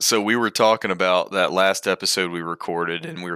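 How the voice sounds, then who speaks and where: A man with an Alabama accent speaks at a very deep, low pitch and a fairly quick pace, in a monotone, flat intonation. His tone is bright and sharp, and the recording is very clean with a silent background. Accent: Alabama Southern US. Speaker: wildlife ecology professor. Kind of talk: casual chat.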